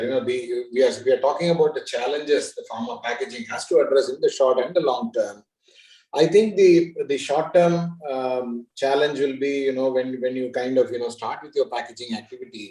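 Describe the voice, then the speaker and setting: A normal speaking voice from a man, moderately paced and fairly high, with ordinary pitch variation. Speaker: panel moderator. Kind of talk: panel discussion.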